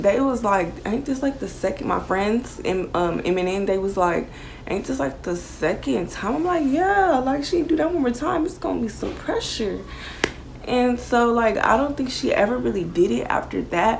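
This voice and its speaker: There is noticeable background noise and audible room echo as a woman talks at a fairly slow pace with very wide pitch swings. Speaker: YouTuber. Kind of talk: storytime vlog. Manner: loud; animated.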